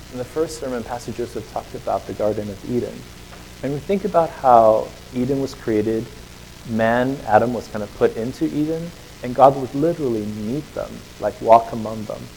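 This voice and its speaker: Noticeable background noise sits under the voice. The talk is fairly quick, with ordinary pitch variation. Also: man, medium pitch for a man. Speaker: preacher. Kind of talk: sermon. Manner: fast; casual, filler-heavy.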